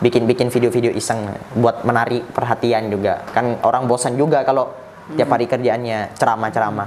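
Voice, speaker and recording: Noticeable background noise behind speech at a fairly quick pace. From Madura (Bangkalan), Indonesia. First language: Madurese (speaking Indonesian). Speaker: TikTok Islamic preacher. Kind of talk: casual interview chat.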